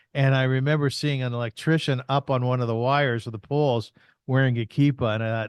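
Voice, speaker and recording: A man's unremarkable speaking voice at medium pitch, fairly quick, with a dry, close sound, no echo, and a quiet background. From Canada, Kitchener Ontario. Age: 60s. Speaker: podcaster and artist. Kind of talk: interview conversation.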